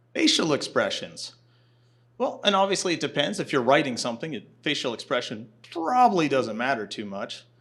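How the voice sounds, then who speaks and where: A man talks at a fairly quick pace. His fairly high voice swings very widely in pitch. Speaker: navy officer and physician giving a conference talk. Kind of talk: lecture. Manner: conversational.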